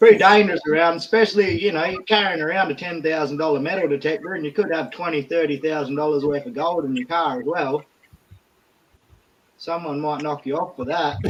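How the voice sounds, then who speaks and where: This man speaks fairly quickly in a fairly high pitch with an Australian accent. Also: ordinary pitch variation. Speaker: gold prospector. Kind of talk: casual chat.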